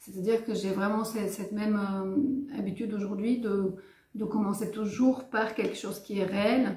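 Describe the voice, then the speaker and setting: With audible room echo and noticeable background noise, a speaker with a Bulgarian accent talks at a moderate pace with fairly even intonation. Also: woman, fairly high pitch for a woman. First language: Bulgarian (speaking French). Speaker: writer and filmmaker. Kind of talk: interview. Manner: hesitant, many fillers.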